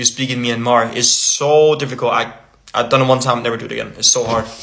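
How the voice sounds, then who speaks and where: A fairly high-pitched man with a Danish accent, over noticeable background noise. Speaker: language-learning content creator. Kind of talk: casual vlog talk. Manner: halting, with fillers and restarts.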